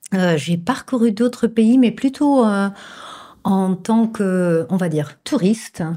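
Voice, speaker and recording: Very slowly and with lively intonation, a woman speaks in a dark, mellow tone at a very even loudness, in a very clean recording with a silent background. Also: medium pitch for a woman. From Flemish Belgium, Bruges. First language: Dutch (Flemish) (speaking French). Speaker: image consultant and coach. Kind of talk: interview. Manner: hesitant, many fillers.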